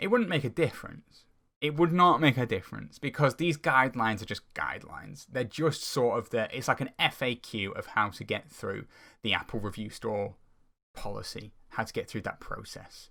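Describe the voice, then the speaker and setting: A man's bright, sharp voice with vocal fry, on a very clean recording with a silent background. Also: medium pitch for a man, lively intonation, moderate pace. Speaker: software engineer. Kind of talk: casual commentary to camera. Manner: stuttering, hesitant, many filler words.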